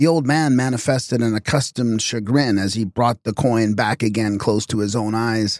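A natural voice, reading aloud

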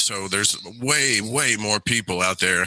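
Using an ordinary speaking voice with ordinary pitch variation, a man talks fairly slowly at a fairly low pitch. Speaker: radio host and occult practitioner. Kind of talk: casual interview.

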